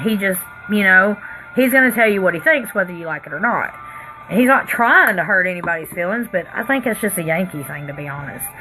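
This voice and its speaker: Music plays behind a very fast Tennessee accent with lively intonation. The loudness swings widely. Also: woman, medium pitch for a woman. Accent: Southern US accent, Tennessee. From Pennsylvania. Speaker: makeup artist vlogger. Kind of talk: casual livestream chat while doing makeup. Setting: live stream at home.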